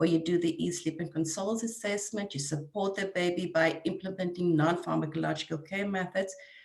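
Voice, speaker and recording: Speaking at a fairly quick pace with hardly any pauses, a woman with a South African accent keeps a fairly low pitch and fairly even intonation. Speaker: neonatal nurse coordinator. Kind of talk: webinar presentation.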